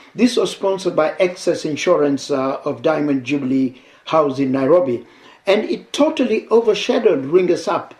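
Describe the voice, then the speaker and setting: A man talks at a moderate pace with a high-pitched voice. His intonation is lively. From Kenya, Mombasa. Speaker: veteran radio DJ. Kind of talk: interview.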